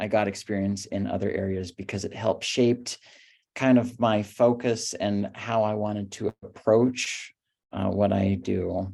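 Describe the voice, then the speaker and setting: Fairly slow, fairly low-pitched male speech with a dark, mellow tone and fairly even intonation, on a very clean recording with a silent background. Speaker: speech-language pathologist panelist. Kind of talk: panel discussion.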